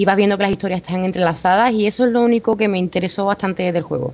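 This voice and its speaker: A woman speaks very fast at a medium pitch. Her intonation stays fairly even. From Seville, Spain. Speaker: podcast listener guest. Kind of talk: casual chat.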